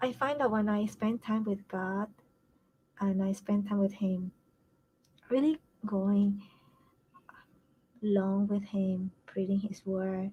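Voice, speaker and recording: Somewhat breathy, a woman speaks at a medium pitch with a dark, mellow tone and fairly even intonation. Her pace is very slow, with long, frequent pauses. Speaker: family caregiver and challenge host. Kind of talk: live stream talk to group.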